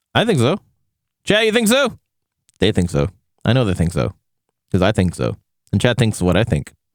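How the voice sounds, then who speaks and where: A man's voice at very even loudness, broken by long, frequent pauses. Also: fairly quick pace, dry, close sound with no echo. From Canada. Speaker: VTuber streamer. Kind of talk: casual chat. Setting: live stream. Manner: halting, many restarts. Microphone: good microphone setup.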